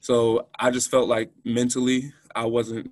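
A man talks at a fairly slow pace in a monotone, flat intonation. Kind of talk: interview answer. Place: meeting room. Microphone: video call.

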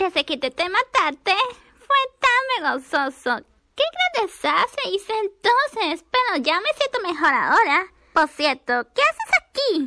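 A put-on character voice that sounds female is pitched extremely high, swinging very widely in pitch at a fairly slow pace. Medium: dub. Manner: upbeat.

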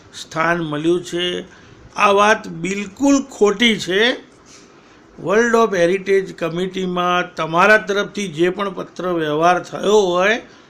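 The man has a bright, sharp tone at a high pitch. His intonation stays fairly even. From Patan, north Gujarat, India. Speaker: political commentator. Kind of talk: political monologue. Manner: combative.

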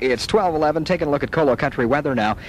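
The voice sounds dry with no echo, while music plays clearly in the background. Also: man. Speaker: radio DJ. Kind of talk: country radio DJ patter. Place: studio. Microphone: old recording.

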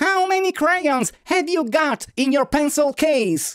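A man puts on a character voice with an extremely high pitch, speaking at a fairly slow pace. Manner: excited, upbeat.

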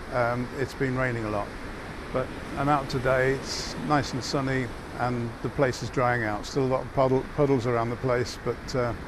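Over noticeable background noise, a man speaks at a moderate pace in a flat monotone, the sound dry with no echo. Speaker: property inspector reporting. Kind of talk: casual report to camera. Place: home room. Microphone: phone near.

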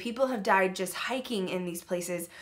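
This woman talks at a moderate pace with lively intonation. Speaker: channel host. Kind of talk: casual vlog chat. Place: home room. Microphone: webcam.

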